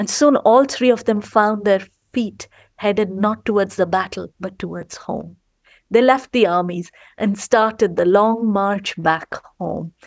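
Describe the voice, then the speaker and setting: A woman with an Indian accent speaks at a medium pitch and a fairly slow pace, with ordinary pitch variation. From India, Gujarat. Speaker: storyteller. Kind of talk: storytelling and interview chat.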